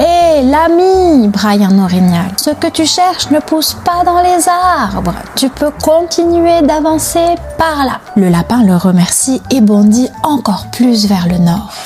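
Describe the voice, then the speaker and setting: A woman's high, gentle voice at a very slow pace, with very wide pitch swings, very even loudness and music in the background. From Quebec. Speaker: children's author. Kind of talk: reading aloud. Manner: gentle storytelling.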